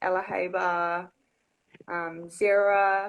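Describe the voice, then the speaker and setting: The background stays quiet while a woman talks. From New Zealand, Wellington. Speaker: singer. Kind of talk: casual interview. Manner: animated.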